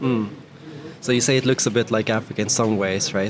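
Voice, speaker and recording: Over noticeable background noise, a man with a Swedish accent talks at a fairly quick pace, his medium pitch carried in fairly even intonation. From Sweden. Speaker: YouTube interviewer. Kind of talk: casual interview.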